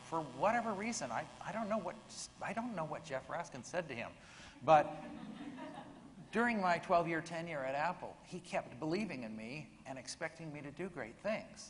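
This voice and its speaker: A man with a high voice and lively intonation talks at a moderate pace amid audible room echo and noticeable background noise. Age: 60s. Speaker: software engineer and early computer team member. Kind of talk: panel discussion. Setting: stage with audience.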